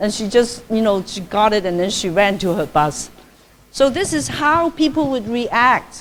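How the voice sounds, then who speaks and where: The intonation is lively. The pace is moderate. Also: woman. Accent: Cantonese. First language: Cantonese. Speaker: Buddhist nun giving a dharma talk. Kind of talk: lecture. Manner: conversational, frequent fillers.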